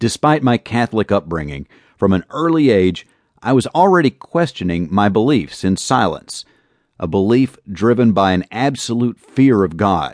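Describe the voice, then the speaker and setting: A man with a calm tone and fairly low pitch, very wide pitch swings and very even loudness, in a dry, close sound with no echo. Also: moderate pace, quiet background. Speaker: audiobook narrator reading author's memoir. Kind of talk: audiobook reading of a first-person memoir, steady and reflective. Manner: calm, measured, earnest.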